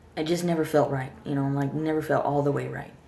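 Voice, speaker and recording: The speaker talks at a fairly quick pace in a monotone, flat intonation, with noticeable background noise. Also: woman. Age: 30s. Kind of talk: casual talk to camera. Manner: stuttering, hesitant.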